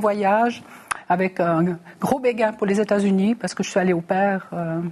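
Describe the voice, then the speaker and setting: A woman talks in an ordinary speaking voice at medium pitch, keeping a moderate pace and fairly even intonation. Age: 60s. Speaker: mayor and election candidate. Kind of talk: televised political debate.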